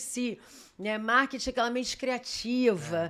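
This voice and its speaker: The recording is very clean, and the background is silent. A woman's fairly high voice is heard. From Rio de Janeiro, Brazil. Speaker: tourism executive and journalist. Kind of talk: podcast interview. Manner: talkative; lively.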